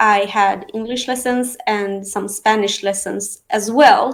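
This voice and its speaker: A woman talks at a fairly high pitch with a slight non-native accent. Her intonation stays fairly even. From Sweden. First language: Aramean and Arabic. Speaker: real estate professional. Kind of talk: interview. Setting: live online stream. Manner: natural, fluent English.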